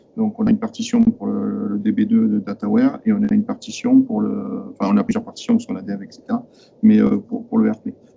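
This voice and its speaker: Very rapid male speech against noticeable background noise. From southern France. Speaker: IT manager at a company, audience member. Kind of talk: technical discussion in Q&A. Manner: fast; halting, many hesitations.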